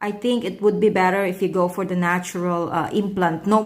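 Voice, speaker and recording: A woman with a Filipino accent and a medium pitch. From Philippines. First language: Tagalog. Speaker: vlogger. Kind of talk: casual vlog talk. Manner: halting, many fillers.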